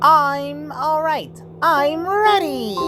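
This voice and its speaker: A put-on character voice is heard with clear music in the background. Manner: cheery, put-on cartoon voice.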